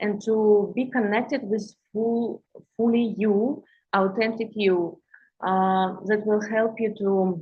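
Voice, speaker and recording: A woman with a Russian accent talks at a very slow pace, her pitch fairly high and her voice somewhat breathy. Her loudness stays very even throughout. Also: fairly even intonation. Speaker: intuitive healer and coach. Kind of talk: livestream talk to viewers. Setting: live stream on social media. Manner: halting, many fillers and restarts.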